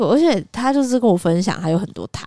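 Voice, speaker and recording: A woman talks at a very fast pace with lively intonation. Her tone is dark and mellow. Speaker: podcast co-host. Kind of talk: casual chat.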